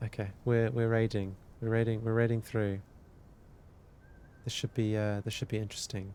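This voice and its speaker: In a British accent, a man talks at a moderate pace and medium pitch, his calm, dark, mellow tone held to a monotone, flat intonation with long, frequent pauses. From UK. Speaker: live streamer studying a textbook. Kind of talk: casual live-stream chat. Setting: live stream.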